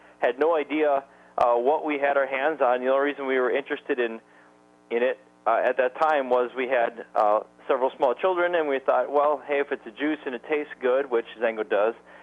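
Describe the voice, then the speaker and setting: Fairly quick and fairly even in intonation, a man with an Upper Midwest accent talks at a fairly high pitch. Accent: Upper Midwest American. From Wisconsin. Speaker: network marketing distributor. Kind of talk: sales presentation webinar. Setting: conference call webinar. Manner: fast.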